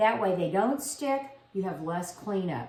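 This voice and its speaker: In an American accent, a woman speaks with lively intonation. Audible room echo is present. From South Louisiana. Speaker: home cooking video host. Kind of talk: cooking tutorial. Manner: casual, conversational.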